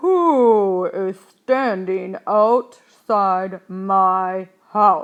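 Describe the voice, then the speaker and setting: A female-sounding, put-on character voice speaks at a medium pitch and a very slow pace. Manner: booming.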